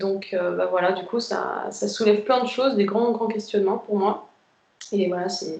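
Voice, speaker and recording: With fairly even intonation, this woman's voice stays at a medium pitch. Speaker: twin flame group member sharing experience. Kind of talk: casual group chat on a live video. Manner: fast; hesitant, many fillers.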